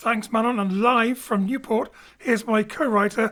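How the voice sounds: A man's extremely high, fairly bright voice, fairly slow and fairly even in intonation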